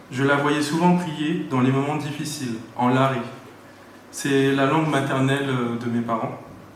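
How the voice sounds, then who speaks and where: Noticeable background noise and audible room echo surround a man speaking at a fairly high pitch with fairly even intonation. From Paris region, France. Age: 30s. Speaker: church member giving baptism testimony. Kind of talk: testimony read aloud.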